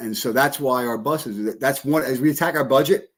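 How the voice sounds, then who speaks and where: With ordinary pitch variation and a medium pitch, a man is heard on a very clean recording against a silent background. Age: 60s. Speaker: school superintendent. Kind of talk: casual interview. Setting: live podcast studio. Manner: halting, many repetitions.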